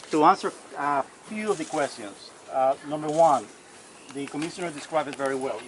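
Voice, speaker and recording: Noticeable background noise sits behind a man speaking quietly. His pitch is fairly high and his pace moderate. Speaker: county environmental official. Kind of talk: public meeting explanation. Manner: quiet, hard to hear.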